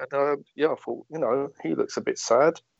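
In a southern English accent, a man talks at a moderate pace. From Watford, southern England. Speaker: sports fan. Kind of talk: interview.

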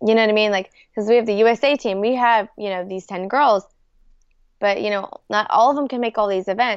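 Delivered at a fairly quick pace, the speech comes in a plain, everyday voice. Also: woman, fairly high pitch for a woman. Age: 20s. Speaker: competitive paintball player. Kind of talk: casual chat.

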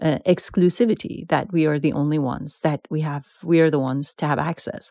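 A woman with a Persian accent, a very deep, low pitch, a dark, mellow tone, ordinary pitch variation, a moderate pace and a dry, close sound with no echo. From Iran. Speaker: author and poet. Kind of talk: interview. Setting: remote call.

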